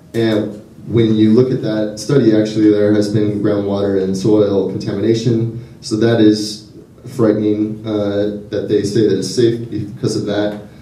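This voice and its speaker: In a room with audible echo, a man talks at a fairly slow pace and a fairly low pitch with monotone, flat intonation. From Southern California. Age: 20s. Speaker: graduate student activist. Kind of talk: public speech at a rally. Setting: public event with audience. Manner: halting, many fillers and repetitions. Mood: earnest, concerned. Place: hall.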